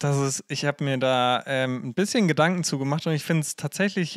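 A man speaks in an ordinary speaking voice, fairly high with ordinary pitch variation, on a very clean recording with a silent background. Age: 20s. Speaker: youth worker and theologian. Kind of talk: casual chat.

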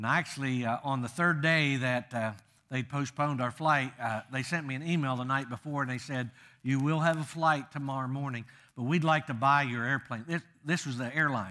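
A man's bright, sharp tone at a fairly quick pace, with fairly even intonation and a quiet background. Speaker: guest preacher. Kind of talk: sermon. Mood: humorous, warm storytelling. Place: church.

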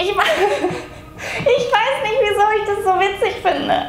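A woman's voice comes with audible room echo and clear music in the background. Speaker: vlogger. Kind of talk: casual vlog chat. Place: home room.

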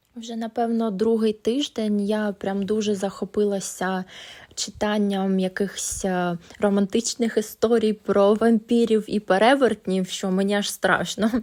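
The recording is very clean, with a silent background. A woman speaks at a fairly slow pace in a fairly high voice with monotone, flat intonation. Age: 20s. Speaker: vlogger, housewife. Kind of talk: vlog voiceover narration.

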